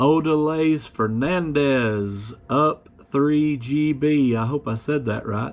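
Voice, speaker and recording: Here a man speaks at a very slow pace. His pitch varies in an ordinary way. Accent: American. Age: 40s. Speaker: YouTuber, online reseller. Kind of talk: casual chat to camera. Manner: casual, filler-heavy.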